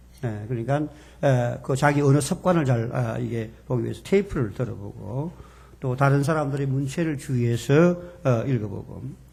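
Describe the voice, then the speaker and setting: A man speaks at a moderate pace in a fairly high pitch. His voice is somewhat breathy, with audible room echo. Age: 70s. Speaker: seminary professor. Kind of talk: lecture. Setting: church seminar with audience.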